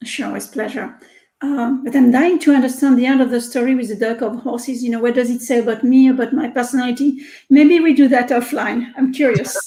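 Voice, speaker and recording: A French accent colors this voice, which keeps a fairly even intonation. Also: woman, high pitch for a woman. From France. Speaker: research scientist and tech executive. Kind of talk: interview.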